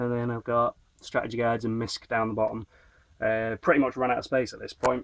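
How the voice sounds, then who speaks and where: A man in a Northern English accent speaks at a fairly quick pace and medium pitch, monotone and flat, in a dry, close sound with no echo. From Northern England. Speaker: retro game collector. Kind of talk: casual talk to camera.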